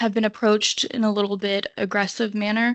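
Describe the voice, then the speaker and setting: In a nervous, shaky voice, a woman speaks at a fairly high pitch. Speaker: public commenter at city council meeting. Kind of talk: public comment. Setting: city council meeting.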